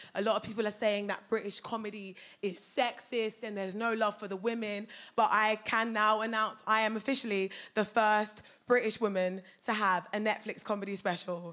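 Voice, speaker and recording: With an English accent, a woman speaks at a moderate pace in a bright, sharp tone and a monotone, flat intonation. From England. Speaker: comedian. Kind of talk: stand-up. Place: stage. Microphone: handheld.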